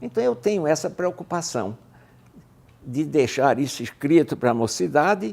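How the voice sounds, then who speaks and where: With vocal fry and a dark, mellow tone, a man speaks at a fairly slow pace in a fairly high pitch, his intonation lively. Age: 80s+. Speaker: retired aviator and author. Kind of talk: interview. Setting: video interview.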